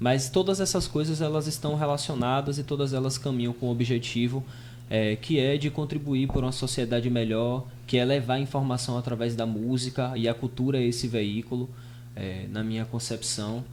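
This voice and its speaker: This man has an unremarkable speaking voice, pitched in the medium range. He talks at a moderate pace with fairly even intonation. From Brazil, Bahia sertão (Piritiba). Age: 20s. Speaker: rapper and radio host, podcast guest. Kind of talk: podcast interview.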